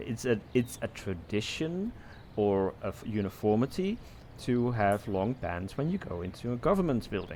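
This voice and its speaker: A man speaks with a Dutch accent at a medium pitch, his intonation lively. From Netherlands. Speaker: podcast co-host. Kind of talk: casual chat.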